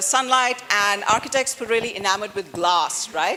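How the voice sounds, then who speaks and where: Over noticeable background noise, a woman talks at a fairly high pitch with ordinary pitch variation. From India (Delhi). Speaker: architecture professor. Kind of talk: interactive lecture. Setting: auditorium with audience. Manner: loud; animated.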